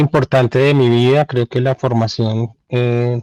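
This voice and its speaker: A man speaks at a very slow pace with medium pitch and a dark, mellow tone. His intonation is monotone and flat, and the sound is dry and close with no echo. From Colombia, raised in Cali then Bogotá. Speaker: journalist. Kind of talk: interview. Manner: halting, many fillers.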